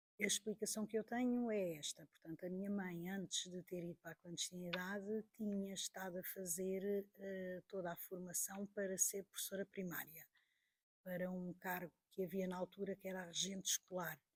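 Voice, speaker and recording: A woman speaks at a moderate pace and medium pitch, her intonation monotone and flat. The sound is dry and close, with no echo. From Portugal, Porto region. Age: 60s. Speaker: teacher and witness of political history. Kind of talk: interview testimony.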